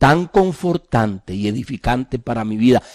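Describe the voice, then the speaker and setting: With a dark, mellow tone and lively intonation, a man talks at a fairly slow pace in a dry, close sound with no echo. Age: 60s. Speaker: pastor. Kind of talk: sermon.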